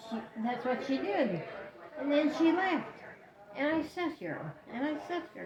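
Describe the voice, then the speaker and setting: High-pitched and lively in her intonation, a woman speaks with long, frequent pauses. Audible room echo and crowd noise fill the background. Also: fairly slow pace. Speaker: elderly woman in care. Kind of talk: casual chat.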